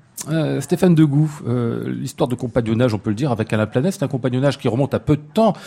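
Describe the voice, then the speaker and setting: A man speaks very fast at a medium pitch, his tone dark and mellow and somewhat breathy. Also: ordinary pitch variation, hardly any pauses. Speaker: radio host. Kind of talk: live radio interview. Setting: live in front of an audience in a hotel.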